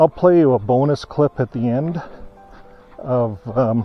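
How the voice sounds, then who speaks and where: With music in the background, a man speaks at a very slow pace with lively intonation. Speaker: ex-Jehovah's Witness channel host. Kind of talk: casual talk to camera on a walk. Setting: outdoors.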